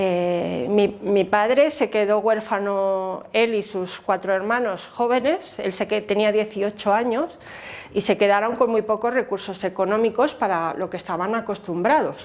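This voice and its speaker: A woman speaks at a fairly slow pace and medium pitch with ordinary pitch variation. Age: 60s. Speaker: memory activist. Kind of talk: interview testimony. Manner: hesitant, many fillers.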